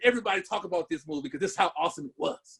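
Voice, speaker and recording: A man is speaking. His tone is animated. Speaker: podcast co-host. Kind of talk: casual chat. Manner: stuttering.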